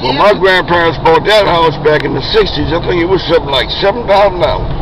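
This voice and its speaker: Delivered at a very fast pace, the speech has a dry sound with no echo and noticeable background noise. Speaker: cab driver. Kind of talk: casual conversation. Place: car. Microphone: phone near.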